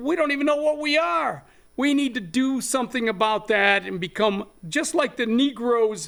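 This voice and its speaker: A man with an extremely high pitch, lively intonation and a moderate pace, in a South Texas accent. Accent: South Texas Mexican-American English. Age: 70s. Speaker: activist and land grant researcher. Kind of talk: interview.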